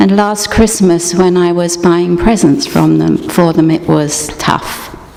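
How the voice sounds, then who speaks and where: Noticeable background noise surrounds a woman who talks very slowly. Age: 60s. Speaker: guest speaker at a church service. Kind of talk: scripted dramatic reading.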